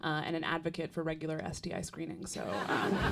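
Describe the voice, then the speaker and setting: A woman speaks at a very fast pace with a Canadian accent. Her pitch is fairly low, and there is audible room echo. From Canada. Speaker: stand-up comedian. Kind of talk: stand-up. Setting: stage with audience.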